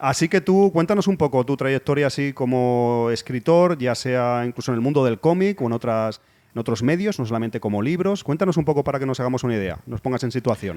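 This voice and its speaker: A man at medium pitch speaks at a fairly quick pace with hardly any pauses and lively intonation. His tone is dark and mellow, and the recording is very clean with a silent background. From Spain, Cornellà near Barcelona. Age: middle-aged. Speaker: podcast host. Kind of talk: casual interview chat. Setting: bar.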